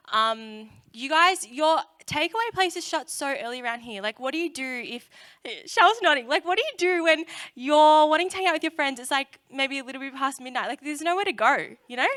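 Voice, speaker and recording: A woman's high, bright and sharp voice in an Australian accent, at a fairly quick pace with lively intonation and big swings in loudness, in a very clean recording with a silent background. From Australia, Melbourne area. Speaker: youth speaker. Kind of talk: sermon. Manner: casual, many fillers.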